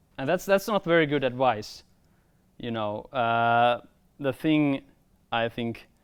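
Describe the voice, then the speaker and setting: A man with a Finnish accent talks at a very slow pace with long, frequent pauses. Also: medium pitch for a man, lively intonation, very clean recording, silent background. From Finland, rural countryside. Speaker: filmmaker. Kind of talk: workshop talk. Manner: halting, repeats words.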